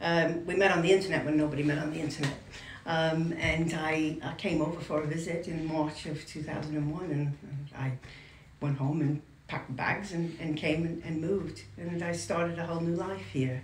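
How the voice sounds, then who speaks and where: A woman with an American accent speaks at a moderate pace in a very deep, low pitch with fairly even intonation. The recording has audible room echo and noticeable background noise. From New York. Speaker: interviewee, community member. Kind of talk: interview. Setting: in France at regional event. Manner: halting, many fillers and repeats.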